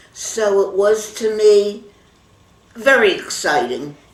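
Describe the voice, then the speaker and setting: Amid noticeable background noise, a woman talks at a medium pitch with lively intonation. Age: 80s+. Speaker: grandmother voter. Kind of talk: interview answer.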